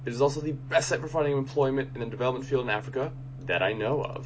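There is noticeable background noise as a man speaks at a medium pitch. He talks at a very fast pace with fairly even intonation. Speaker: podcast host. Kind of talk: interview, host intro.

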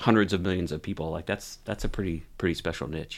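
Over a very clean recording with a silent background, a man with an American accent speaks at a very deep, low pitch with fairly even intonation. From Ohio. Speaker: university athletic director. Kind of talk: interview.

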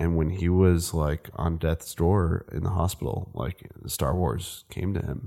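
A man with an American accent speaks at a moderate pace in a very deep, low pitch, with ordinary pitch variation. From Northern California (Napa Valley), born New Jersey. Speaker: filmmaker, cinematographer. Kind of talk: casual chat. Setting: host's house.

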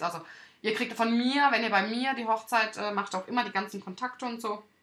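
Noticeable background noise runs behind the speech. A woman talks at a fairly quick pace with ordinary pitch variation. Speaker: wedding podcast host and wedding photographer. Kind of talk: solo podcast monologue. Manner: halting, with stumbles and fillers.

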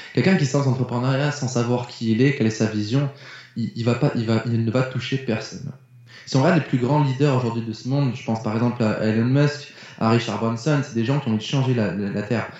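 A man with a plain, everyday voice speaks at a fairly quick pace, with fairly even intonation and a medium pitch. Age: 20s. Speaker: mindset coach and speaker. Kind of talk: casual interview chat.

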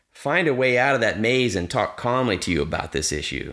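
With a bright, sharp tone and vocal fry, a man moves at a moderate pace through very wide pitch swings. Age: 50s. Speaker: dog trainer and podcast host. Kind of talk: solo podcast monologue. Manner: repeats words, hesitant starts.

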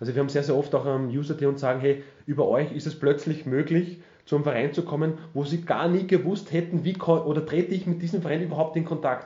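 Speaking at a very fast pace, a man uses a fairly high pitch and fairly even intonation. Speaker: retired footballer and TV pundit. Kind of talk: interview.

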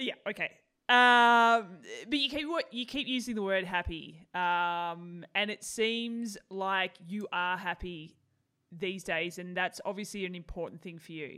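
A woman with an Australian accent speaks fairly slowly in a bright, sharp voice at medium pitch, with ordinary pitch variation. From Australia (Tasmania). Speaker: podcast host. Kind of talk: interview. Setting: video call. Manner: laughing, sarcastic tone.

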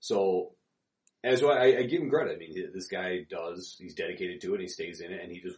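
A man speaks at a fairly quick pace. His loudness swings a lot. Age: 30s. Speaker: co-host, powerlifter. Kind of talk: casual chat podcast.

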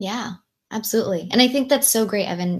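A woman with an American accent. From Southern California (Long Beach, LA). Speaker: nonprofit founder. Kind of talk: interview podcast. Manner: animated.

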